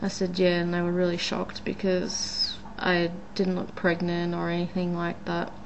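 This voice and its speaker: The speaker has an Australian accent, with monotone, flat intonation at a moderate pace. Noticeable background noise and audible room echo fill the recording. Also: woman, fairly low pitch for a woman. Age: 20s. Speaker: vlogger. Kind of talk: casual vlog monologue. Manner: hesitant, many fillers.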